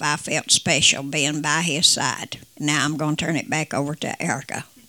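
The woman's pitch is very deep and low. Her tone is bright and sharp, and her pace is moderate. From West Virginia. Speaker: singer and co-host. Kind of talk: personal storytelling.

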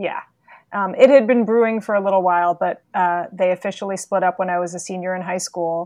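Speaking at a fairly quick pace, a woman with an American accent has an unremarkable speaking voice, a medium pitch and fairly even intonation. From New York City. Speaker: executive leadership coach. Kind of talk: interview.

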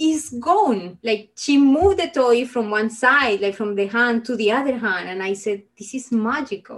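A woman's high voice in a Spanish accent, fairly slow in pace, with lively intonation. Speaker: engineer and minimalism advocate. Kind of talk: interview.

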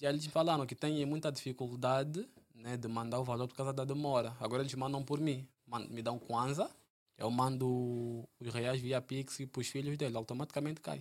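A man at a medium pitch, a plain, everyday voice, at a moderate pace. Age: 20s. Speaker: entrepreneur and stock investor. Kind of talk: casual interview chat.

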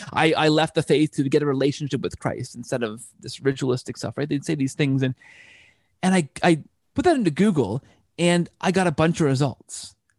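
A man with a Canadian accent talks at a fairly quick pace in an ordinary speaking voice, his pitch fairly high with ordinary variation. The sound is dry and close with no echo, a very clean recording with a silent background. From Canada. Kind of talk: casual interview chat. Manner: frequent word repetitions.

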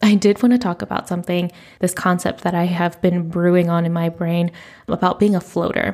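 An ordinary speaking voice from a woman, fairly low in pitch, with fairly even intonation at a moderate pace. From United States. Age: 30s. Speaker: podcast host. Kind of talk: solo podcast monologue. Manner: casual, chatty.

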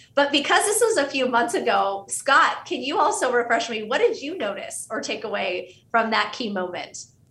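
Speaking at a moderate pace with hardly any pauses, a high-pitched woman with an American accent makes very wide pitch swings over noticeable background noise. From US, Pittsburgh, Pennsylvania. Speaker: author and consultant. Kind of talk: interview.

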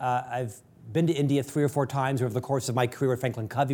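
The recording is very clean with a silent background, capturing a man speaking at a medium pitch. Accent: American. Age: 50s. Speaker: podcast host. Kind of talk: interview.

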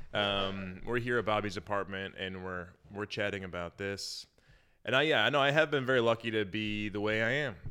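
A man with an unremarkable speaking voice talks at a fairly quick pace, his pitch fairly low with ordinary variation. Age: 30s. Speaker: podcast host and comedian. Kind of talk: casual chat. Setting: guest's apartment.

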